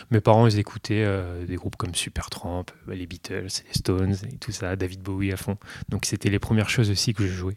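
A man's fairly low voice at a moderate pace, flat and monotone, in a dry, close sound with no echo. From northern Burgundy, France. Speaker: pianist. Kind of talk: interview.

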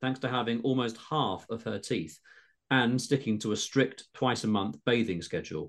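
A natural reading voice with fairly even intonation, over a quiet background.

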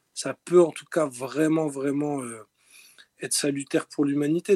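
This man's voice has a dark, mellow tone and a fairly high pitch. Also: dry, close sound with no echo. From north-eastern France, Lorraine mining town. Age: 40s. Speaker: rapper and music producer. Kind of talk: interview. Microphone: poor recording audio quality.

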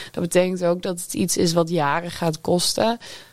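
Ordinary pitch variation and a fairly slow delivery in a plain, everyday voice, captured on a very clean recording against a silent background. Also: woman. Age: 20s. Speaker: music journalist. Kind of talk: panel discussion. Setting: studio.

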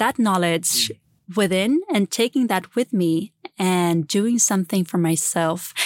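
With a Swedish accent, a woman talks at a very slow pace and medium pitch, her pitch varying in an ordinary way, in a dry, close sound with no echo on a very clean recording with a silent background. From Sweden, Gotland. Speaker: entrepreneur, former political communicator. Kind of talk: interview conversation.

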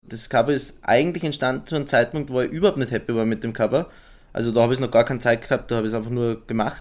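At a very fast pace, a man talks with a medium pitch and ordinary pitch variation. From Styria, Austria. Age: 20s. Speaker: visual artist. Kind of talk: interview.

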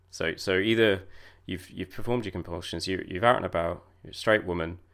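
With ordinary pitch variation, a man talks in a very deep, low pitch. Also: very clean recording, silent background. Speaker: podcast host sharing lived experience of OCD. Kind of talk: solo monologue podcast. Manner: hesitant, many fillers.

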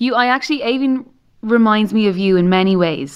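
A woman with an Irish accent, fairly high in pitch, ordinary pitch variation, quiet background. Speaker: podcast host. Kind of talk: casual interview. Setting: studio.

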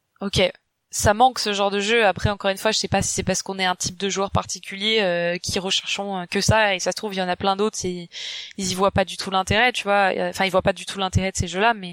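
A woman talks at a very fast pace in a medium pitch with monotone, flat intonation, in a very clean recording with a silent background. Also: dry, close sound with no echo. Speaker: YouTuber and UX designer. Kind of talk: casual chat.

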